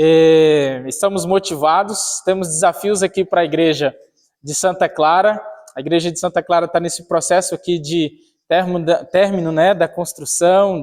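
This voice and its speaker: With fairly even intonation, a man talks in a high-pitched voice. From Tocantins, northern Brazil. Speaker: pastor. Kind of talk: church address to congregation. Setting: church. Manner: informal, with filler words.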